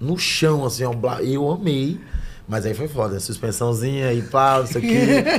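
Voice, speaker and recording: A man speaks at a fairly slow pace with lively intonation. Light background noise is present. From Salvador, Bahia, Brazil. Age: 20s. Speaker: actor and stand-up comedian. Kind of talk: podcast interview answer. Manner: casual, slangy. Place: studio. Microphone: studio mic.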